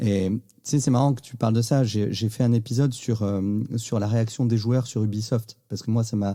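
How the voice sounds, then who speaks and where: A man with a dark, mellow tone speaks at a moderate pace and medium pitch, his intonation fairly even. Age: 40s. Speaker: podcast host. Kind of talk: casual interview chat.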